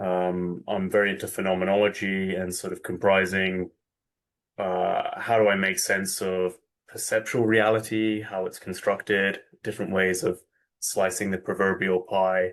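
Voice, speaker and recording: Over a quiet background, a man speaks with a British accent at a very deep, low pitch. His delivery is monotone and flat, at a moderate pace. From UK. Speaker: spiritual teacher, podcast guest. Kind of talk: interview conversation. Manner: halting, many fillers.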